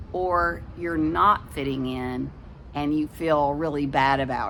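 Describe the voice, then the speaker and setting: A woman's voice carries audible room echo. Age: 60s. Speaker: storyteller for children. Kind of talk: reading aloud; casual chat. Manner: warm, gentle storytelling to kids.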